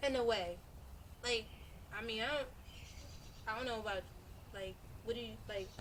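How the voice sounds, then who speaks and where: Soft-spoken and fairly high-pitched, a woman talks at a fairly quick pace with fairly even intonation and long, frequent pauses, and audible room echo surrounds her. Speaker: poet and podcast host. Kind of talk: casual chat.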